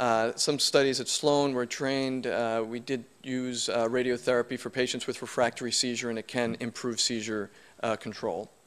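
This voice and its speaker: A man's monotone, flat delivery with hardly any pauses, on a very clean recording with a silent background. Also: medium pitch for a man, moderate pace. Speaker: neuro-oncologist. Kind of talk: lecture. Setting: conference stage with audience. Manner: loud.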